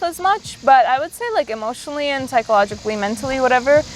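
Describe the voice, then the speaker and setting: Against noticeable background noise, a woman talks at a fairly quick pace in a high pitch with lively intonation. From immigrant to the US, arrived at age ten. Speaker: podcast host. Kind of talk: casual chat. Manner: hesitant, many fillers.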